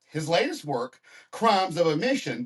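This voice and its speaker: Lively intonation marks this man's speech in a Southern US accent. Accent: Southern American. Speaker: podcast host. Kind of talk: interview; scripted intro.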